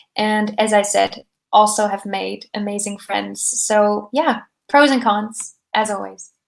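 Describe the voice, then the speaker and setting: A woman's medium-pitched voice, fairly even in intonation, at a very slow pace. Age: 20s. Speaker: startup founder. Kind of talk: interview.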